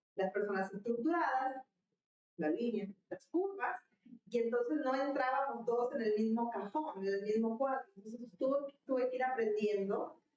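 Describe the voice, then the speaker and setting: Lively intonation and a moderate pace in a high-pitched woman's voice. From northern Mexico. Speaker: leadership guest. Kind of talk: interview conversation.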